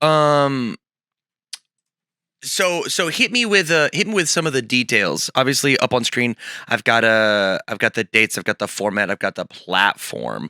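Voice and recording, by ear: A raspy man speaks at a fairly slow pace and medium pitch, his bright, sharp tone making big pitch swings in a dry, close sound with no echo.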